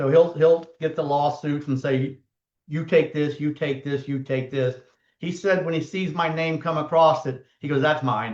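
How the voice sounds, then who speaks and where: At a moderate pace, the speaker talks in a Southern US accent with fairly even intonation. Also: man, fairly high pitch for a man. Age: 60s. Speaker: personal injury lawyer and podcast host. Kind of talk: casual chat. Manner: conversational, hesitant with fillers.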